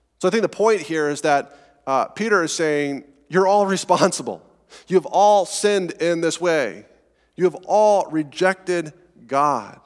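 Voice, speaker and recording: A man with a high voice speaks at a fairly slow pace, his pitch varying in an ordinary way. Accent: American. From Colorado, US. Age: 30s. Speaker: pastor. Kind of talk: sermon. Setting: church. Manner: halting, filler words.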